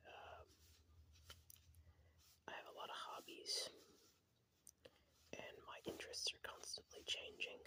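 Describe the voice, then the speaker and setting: The speaker is whispering. The tone is relaxed. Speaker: ASMR creator. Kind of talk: ASMR card showcase. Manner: whispered, relaxed.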